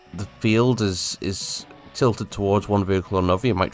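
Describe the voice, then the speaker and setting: Over music in the background, a man with a very deep, low pitch talks at a fairly quick pace. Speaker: gaming commentator. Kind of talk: casual gameplay commentary.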